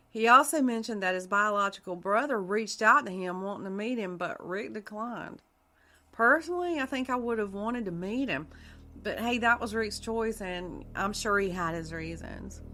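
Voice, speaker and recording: A woman's fairly high voice with lively intonation and a South Carolina accent, music in the background. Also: moderate pace. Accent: Southern US (South Carolina). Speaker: podcast host. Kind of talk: true crime narration. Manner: casual, conversational with fillers.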